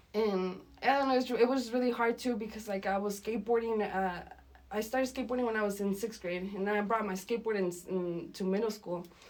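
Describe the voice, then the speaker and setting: Over noticeable background noise, a woman speaks very fast with a fairly high pitch and fairly even intonation. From Santa Fe, New Mexico. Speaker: musician. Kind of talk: casual interview chat. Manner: casual, slangy.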